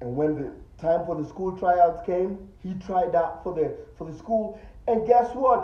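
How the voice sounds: A man with a high pitch talks at a fairly slow pace and with ordinary pitch variation, and audible room echo surrounds his voice.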